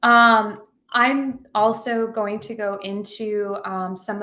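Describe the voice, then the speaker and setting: The speaker is a woman. She talks in a monotone, flat way. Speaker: therapist leading a training. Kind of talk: online training presentation.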